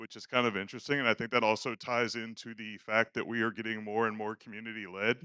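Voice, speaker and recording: A man with a medium pitch and a bright, sharp tone talks at a very fast pace with hardly any pauses, in monotone, flat intonation and big swings in loudness. The sound is dry and close with no echo over a quiet background. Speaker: conference speaker, game project contributor. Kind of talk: conference talk. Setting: stage with audience. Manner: halting. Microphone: needs to be close to the microphone.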